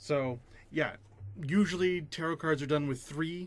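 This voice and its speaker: The man's voice is fairly high and shows ordinary pitch variation. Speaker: gaming video creator. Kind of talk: casual reaction video commentary. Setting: at home with a cat. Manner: quiet.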